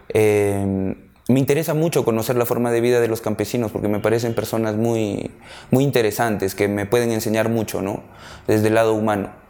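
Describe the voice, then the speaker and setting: The man talks at a fairly quick pace, his medium-pitched voice keeping fairly even intonation. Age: 30s. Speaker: documentary photographer. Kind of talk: personal interview monologue. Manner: halting, many fillers.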